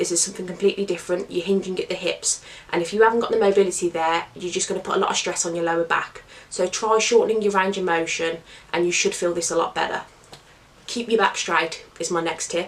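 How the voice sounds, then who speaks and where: A woman talks at a very fast pace with a medium pitch and fairly even intonation. Noticeable background noise sits behind her. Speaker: fitness coach. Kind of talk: tutorial talk to camera.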